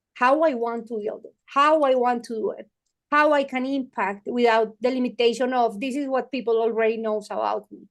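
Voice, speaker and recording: The speech moves at a moderate pace with fairly even intonation and big swings in loudness. The background is quiet. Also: woman, high pitch for a woman. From Colombia. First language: Spanish. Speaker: tech entrepreneur and mentor. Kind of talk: interview. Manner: halting, with repetitions and fillers.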